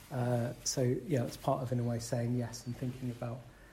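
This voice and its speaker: A man with a medium-pitched voice at a moderate pace, with audible room echo. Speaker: Buddhist centre chair. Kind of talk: dharma talk to fellow chairs.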